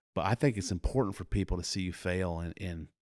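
This man has a very deep, low pitch and an American accent. The recording is very clean, with a silent background. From Iowa, US Midwest (Warren County). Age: 40s. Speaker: youth leader, church member. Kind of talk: casual interview chat.

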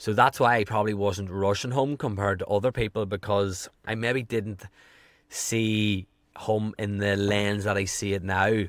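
Man at a fairly low pitch, moderate pace and fairly even intonation, very clean recording, silent background. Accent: strong Irish. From Ireland. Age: 30s. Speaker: health coach and podcaster. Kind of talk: casual interview chat.

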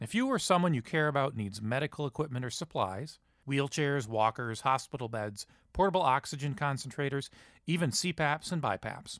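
A man with an ordinary speaking voice talks at a moderate pace with lively intonation, captured in a very clean, dry, close recording with a silent background and no echo. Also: fairly high pitch for a man. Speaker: podcast producer announcer. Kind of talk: scripted announcement and ad reading.

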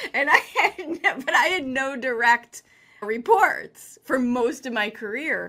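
A woman with an American accent speaks at a high pitch in an energetic, bright, sharp tone. The recording is very clean, with a silent background. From Chicago, US. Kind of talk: interview. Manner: confident, big-talking.

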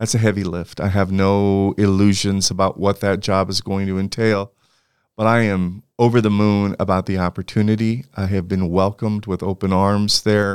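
A man speaks with a Californian accent at a fairly low pitch and a moderate pace, in monotone, flat intonation. The sound is dry and close with no echo, on a very clean recording with a silent background. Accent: Californian American English. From California (Santa Barbara). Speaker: university administrator and political scientist. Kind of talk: interview conversation.

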